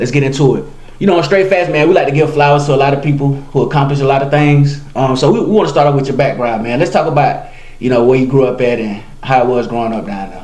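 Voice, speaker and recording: A fairly high-pitched man with an American accent at a very fast pace and ordinary pitch variation, with audible room echo and noticeable background noise. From South Carolina (Monetta, rural). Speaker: podcast host. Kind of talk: casual interview. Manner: relaxed, conversational.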